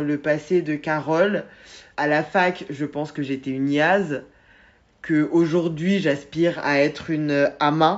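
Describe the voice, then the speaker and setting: Very deep and low in pitch, a woman talks at a very slow pace in a monotone, flat intonation. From Guadeloupean family, France. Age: 30s. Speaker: book club host. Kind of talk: casual interview. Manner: hesitant, many fillers.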